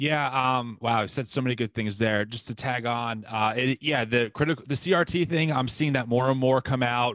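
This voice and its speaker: A man with an ordinary speaking voice talks at a moderate pace and a medium pitch, with ordinary pitch variation. He hardly pauses, and the background is quiet. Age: 30s. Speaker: podcast host. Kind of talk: interview.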